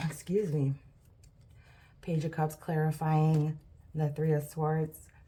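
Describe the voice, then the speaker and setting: A woman's very deep, low voice, somewhat breathy with a dark, mellow tone, at a very slow pace, in a monotone, flat intonation and very even loudness. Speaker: tarot reader. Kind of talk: tarot reading monologue. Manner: stuttering; casual, filler-heavy.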